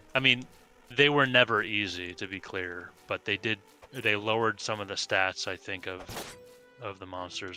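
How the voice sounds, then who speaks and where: With music playing in the background, a man with a fairly low pitch talks at a moderate pace, his loudness swinging widely. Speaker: video game streamer. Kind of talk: casual chat.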